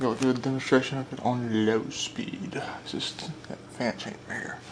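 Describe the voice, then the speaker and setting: A man speaks quietly at a medium pitch and moderate pace, with ordinary pitch variation and big swings in loudness, over noticeable background noise. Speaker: ceiling fan collector and video maker. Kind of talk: casual product demonstration. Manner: quiet, hushed.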